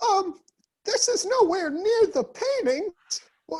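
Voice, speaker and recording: This is a put-on character voice, extremely high and squeaky. Its pace is fairly slow. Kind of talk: cheesy radio commercial. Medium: game stream. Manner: rambling, self-promoting.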